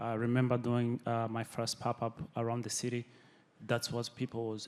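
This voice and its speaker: A man speaks with a non-native accent. His intonation is monotone and flat. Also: medium pitch for a man, moderate pace. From Burundi. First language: not English. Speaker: chef, restaurant owner. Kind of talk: panel discussion. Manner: halting, many fillers.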